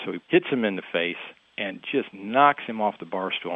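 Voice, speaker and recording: A man talks at a moderate pace in an unremarkable speaking voice. His pitch is fairly low, with ordinary variation. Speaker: author. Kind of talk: interview.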